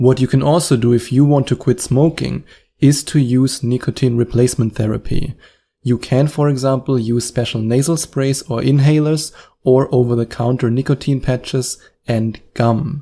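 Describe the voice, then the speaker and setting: On a very clean recording with a silent background, a man with a German accent speaks at a moderate pace and medium pitch, in a dark, mellow tone with fairly even intonation. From Germany. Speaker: hypnotherapist and podcast host. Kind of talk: podcast advice monologue. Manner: direct, encouraging.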